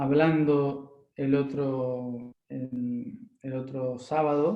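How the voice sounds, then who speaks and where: A man's fairly high voice with fairly even intonation and audible room echo. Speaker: spiritual workshop teacher. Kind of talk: lecture. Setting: live online workshop. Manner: talkative, unscripted.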